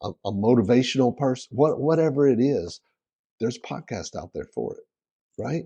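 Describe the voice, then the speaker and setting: A man with a Southern US accent speaks at medium pitch with a dark, mellow tone. Ordinary pitch variation comes through in a dry, close sound with no echo. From South Carolina. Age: 60s. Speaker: real estate investor. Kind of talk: interview.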